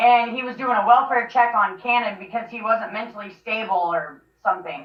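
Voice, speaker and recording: Delivered at a moderate pace, the speech comes in a normal speaking voice with ordinary pitch variation and big swings in loudness. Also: woman, fairly high pitch for a woman. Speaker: mother telling her family story. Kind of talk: interview.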